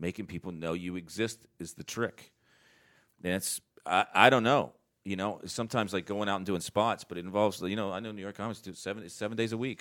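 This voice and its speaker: A man talks at a fairly quick pace in a normal speaking voice, pitched fairly low with fairly even intonation. The recording is very clean, with a silent background. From North Carolina. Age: 40s. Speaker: comedian. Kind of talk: casual chat.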